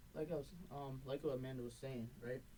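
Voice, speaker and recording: A man with a New York accent talks at a fairly quick pace in a fairly high pitch. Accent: New York accent, toned down. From New York, Brooklyn. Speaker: podcast host. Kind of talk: casual chat.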